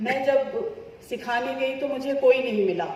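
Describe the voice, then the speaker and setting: A soft-spoken woman talks amid noticeable background noise and audible room echo. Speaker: yoga teacher. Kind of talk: testimony.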